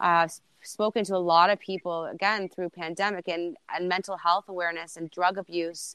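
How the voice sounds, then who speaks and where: Bright and sharp in tone, a woman with a fairly low pitch keeps fairly even intonation at a moderate pace against a quiet background. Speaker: TikTok creator. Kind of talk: casual chat. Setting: video call.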